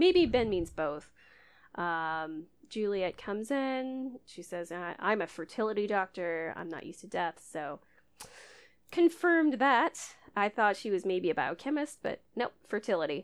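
Speaking at a fairly slow pace with an American accent, a woman lets her pitch swing very widely. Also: medium pitch for a woman, big swings in loudness. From Idaho, US. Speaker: podcast host. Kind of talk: casual chat, episode recap.

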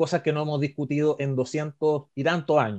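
Recorded dry and close with no echo against a quiet background, a man with a fairly high pitch and an unremarkable speaking voice talks at a moderate pace. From Chile, Coquimbo region. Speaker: podcast co-host, constitutional commentator. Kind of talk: casual explanatory chat.

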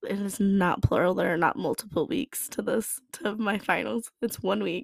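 A woman talks at a moderate pace and medium pitch with vocal fry, in a dry, close sound with no echo. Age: 20s. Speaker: podcast host. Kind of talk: personal reflection monologue. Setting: at home. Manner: casual with frequent laughter.

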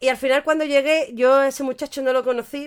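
Her tone is animated. The woman talks at a fairly quick pace. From Andalusia, Cádiz. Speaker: podcast co-host. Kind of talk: casual chat. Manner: animated, frequent laughter.

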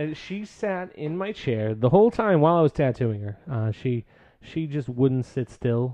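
With an animated tone and very wide pitch swings, a man of medium pitch speaks at a fairly slow pace. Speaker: podcast host. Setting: recording session with drinks. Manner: joking, animated.

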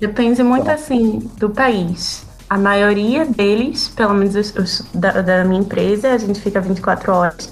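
A woman's medium-pitched voice at a fairly slow pace, with ordinary pitch variation and hardly any pauses, over music in the background. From Brazil. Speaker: flight attendant. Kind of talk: casual chat.

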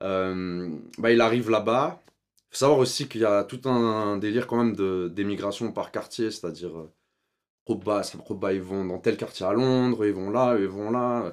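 A man with an ordinary speaking voice, fairly low pitch and fairly slow pace, on a very clean recording with a silent background. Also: ordinary pitch variation. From Switzerland. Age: 30s. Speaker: documentary filmmaker. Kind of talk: casual interview.

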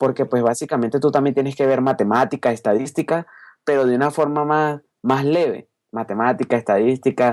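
A man speaks in an unremarkable speaking voice, medium in pitch with ordinary pitch variation, at a moderate pace and very even loudness. The recording is very clean with a silent background, its sound dry and close with no echo. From Venezuela, Caracas. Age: 20s. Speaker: youtuber and podcaster. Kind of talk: interview.

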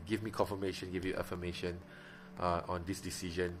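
Speaking at a very fast pace, a man with a Malaysian accent has a very deep, low pitch. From Miri, Sarawak. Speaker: preacher and podcaster. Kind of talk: casual personal podcast, testimony. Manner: close to the mic, soft, ASMR-like; unscripted, casual, filler words.

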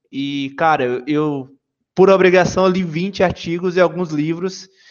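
A man with a Bahian accent, high-pitched, at a moderate pace with fairly even intonation. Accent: Bahian Brazilian Portuguese. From Bahia, Brazil (Salvador). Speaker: software engineer. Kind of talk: podcast interview.

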